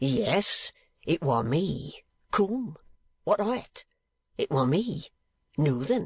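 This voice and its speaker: A man puts on a raspy character voice pitched high, with very wide swings in pitch. He speaks at a very slow pace, leaving long, frequent pauses. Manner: loud, defiant.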